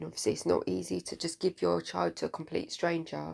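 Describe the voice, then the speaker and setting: Mumbling at a fairly quick pace. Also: woman. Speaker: political commentator vlogger. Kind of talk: casual monologue.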